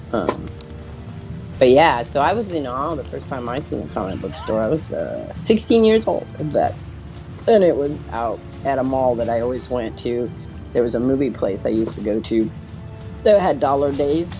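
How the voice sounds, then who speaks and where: Music plays in the background as the speech moves at a moderate pace, broken by long, frequent pauses. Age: 50s. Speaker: streamer playing a video game with friends. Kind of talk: casual chat while gaming. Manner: rambling, conversational storytelling.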